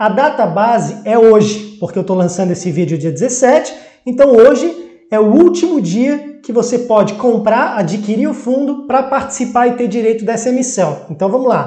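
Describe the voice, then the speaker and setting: Hardly any pauses break up this moderately paced speech. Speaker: investment youtuber. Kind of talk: tutorial. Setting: screen recording at computer.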